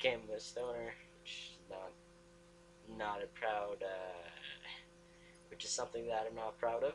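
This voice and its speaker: Over noticeable background noise, a man with a fairly low pitch speaks at a moderate pace, with ordinary pitch variation and long, frequent pauses. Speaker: vlogger. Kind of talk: casual vlog monologue. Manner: halting, frequent restarts and fillers.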